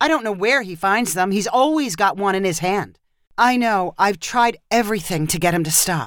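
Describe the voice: Plain reading aloud, with ordinary pitch variation, over a quiet background.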